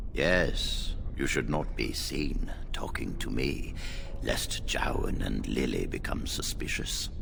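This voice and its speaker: A man whispers in a cartoonish character voice at a fairly slow pace over loud background noise. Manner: formal, commanding.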